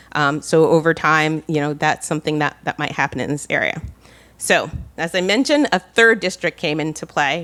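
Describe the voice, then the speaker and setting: A woman's very deep, low-pitched voice, bright and sharp in tone, on a very clean recording over a silent background. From New Jersey. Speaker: town planner. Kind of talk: conference presentation.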